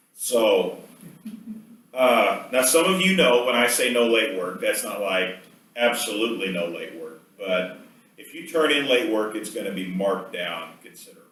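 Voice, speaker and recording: Male speech with big swings in loudness, audible room echo and noticeable background noise. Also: moderate pace. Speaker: professor. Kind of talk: lecture.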